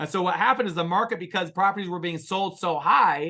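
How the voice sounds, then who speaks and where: A man talks loudly at a very fast pace, animated and high-pitched. His tone is bright and sharp. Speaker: real estate investment partner. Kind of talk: investor webinar Q&A. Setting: webinar.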